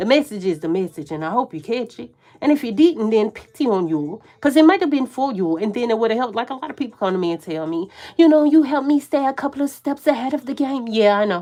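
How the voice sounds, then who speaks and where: Loud and very fast, a woman talks at a fairly high pitch with very wide pitch swings. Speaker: tarot reader. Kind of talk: live tarot reading. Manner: animated, laughs a lot.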